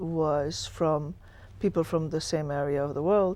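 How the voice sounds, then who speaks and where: A woman's fairly low-pitched voice with an Italian accent, dark and mellow in tone, at a fairly slow pace with fairly even intonation, on a very clean recording with a silent background. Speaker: school superintendent. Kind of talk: interview.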